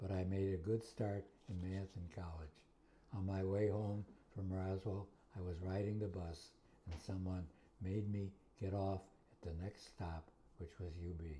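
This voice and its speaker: With an American accent, a man speaks at a moderate pace in a very deep, low pitch, his dark, mellow tone somewhat breathy and his intonation monotone and flat, broken by long, frequent pauses. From Western New York (Buffalo, Kenmore). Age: 80s+. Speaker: retired math teacher. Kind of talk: interview.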